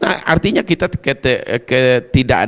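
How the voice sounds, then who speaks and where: Over a quiet background, a man is speaking. His pace is moderate. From Kerinci, Jambi, Indonesia; Jambi, Indonesia. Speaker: provincial legislator; guest. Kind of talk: TV talk show interview. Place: studio. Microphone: handheld.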